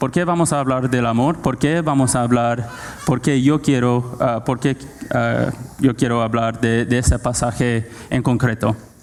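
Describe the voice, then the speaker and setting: Over noticeable background noise, a man with a non-native accent speaks at a fairly slow pace, his loudness very even and his intonation fairly even. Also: medium pitch for a man. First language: not Spanish (speaking Spanish). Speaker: preacher. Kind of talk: sermon. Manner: halting, many fillers.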